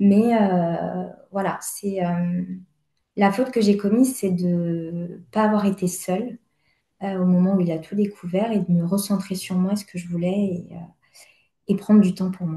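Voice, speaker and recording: A woman speaks at medium pitch at a fairly slow pace, with long, frequent pauses. Her tone is dark, mellow, and somewhat breathy, with fairly even intonation. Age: 30s. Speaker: therapy client. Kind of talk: personal testimony in consultation. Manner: halting, many hesitations.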